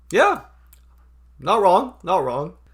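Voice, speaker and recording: Music plays behind a man whose lively intonation moves along at a moderate pace. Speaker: YouTuber. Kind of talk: casual vlog commentary with reading aloud. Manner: casual, drops g in -ing words.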